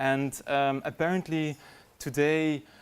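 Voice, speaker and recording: A man talks with fairly even intonation. His pitch is fairly high. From Belgium, Brussels. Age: 20s. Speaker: digital communication trainer. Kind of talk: workshop presentation. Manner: hesitant, many fillers.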